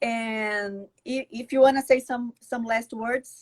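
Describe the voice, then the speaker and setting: The pace of this woman's speech is very slow. Her pitch is fairly high. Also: dry, close sound with no echo. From Brazil. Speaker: law professor. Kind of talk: live webinar interview. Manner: halting.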